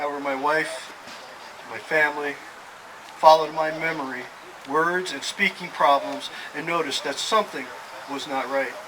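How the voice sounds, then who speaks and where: Against noticeable background noise, a man with a fairly high pitch talks at a moderate pace with fairly even intonation. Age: 60s. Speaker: person living with Alzheimer's. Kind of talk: prepared speech. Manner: halting.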